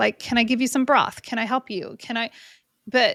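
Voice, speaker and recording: A woman speaks in a very clean recording with a silent background, the sound dry and close with no echo. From California. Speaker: real estate investor and podcast host. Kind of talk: interview conversation. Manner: animated.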